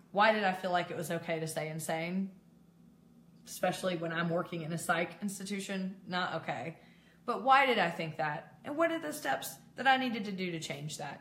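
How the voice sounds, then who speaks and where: With audible room echo, a woman with a fairly low pitch talks at a fairly quick pace in an animated tone and lively intonation. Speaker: mental health advocate and peer support specialist. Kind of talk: live video talk. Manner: loud.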